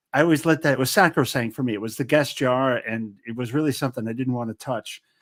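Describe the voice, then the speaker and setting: Recorded very cleanly with a silent background and a dry, close sound with no echo, a man speaks fairly quickly at medium pitch with ordinary pitch variation. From US Pacific Northwest (Portland area). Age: 60s. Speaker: podcast host. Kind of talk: casual interview chat. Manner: halting, many repetitions and fillers.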